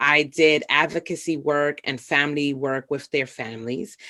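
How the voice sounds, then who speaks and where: With a Bronx accent and a very deep, low pitch, a woman speaks in a very clean recording with a silent background. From New York City, the Bronx. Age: 40s. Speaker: social worker. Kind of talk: interview.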